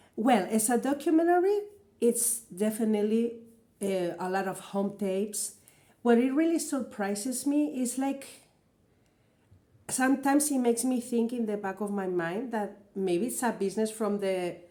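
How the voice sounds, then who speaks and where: With a Spanish accent, a woman speaks at a fairly high pitch in a dark, mellow tone with lively intonation. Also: moderate pace. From Spain. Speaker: vlogger and singer. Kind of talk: reaction video commentary. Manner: hesitant, many fillers.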